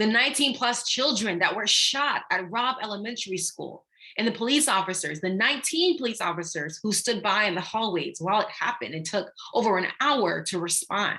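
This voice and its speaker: In a Haitian accent, a woman talks at a moderate pace with a fairly high pitch and a bright, sharp tone. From Haiti, raised in Jacksonville, Florida. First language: Haitian Creole. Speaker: anti-racism educator and workshop leader. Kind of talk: online workshop talk.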